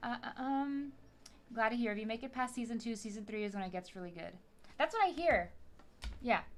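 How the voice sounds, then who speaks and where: A woman with a fairly high pitch talks at a fairly quick pace in an animated tone with lively intonation and big swings in loudness. She leaves long, frequent pauses over noticeable background noise. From South Texas border town. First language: Spanish. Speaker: LEGO streamer. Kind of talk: casual live stream chat while building.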